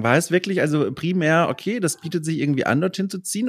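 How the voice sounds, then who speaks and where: The recording is very clean and the background silent. In it, a man talks at a very fast pace. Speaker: podcast host and journalist. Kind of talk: casual interview chat.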